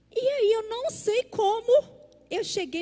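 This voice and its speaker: A woman speaks in a dark, mellow tone. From Brazil, Minas Gerais (Belo Horizonte). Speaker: pastor. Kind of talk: sermon. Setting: church service.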